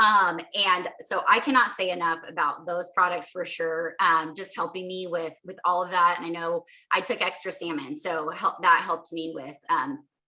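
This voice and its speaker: Here is a woman with an unremarkable speaking voice, fairly low in pitch, with ordinary pitch variation. She talks at a moderate pace with hardly any pauses and big swings in loudness. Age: 40s. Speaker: mother sharing health story. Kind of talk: testimony.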